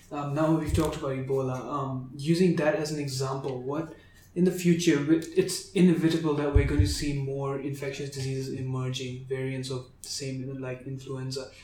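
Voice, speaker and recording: Moderately paced speech with hardly any pauses, fairly even intonation and big swings in loudness, plus audible room echo and noticeable background noise. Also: man, fairly high pitch for a man. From Botswana. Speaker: medical student podcast host. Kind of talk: interview.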